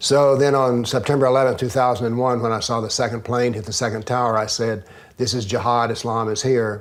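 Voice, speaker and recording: A man with a Southern US accent at a medium pitch, monotone and flat, at a fairly quick pace. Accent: Southern American. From US South. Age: 70s. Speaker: author and former professor. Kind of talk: interview.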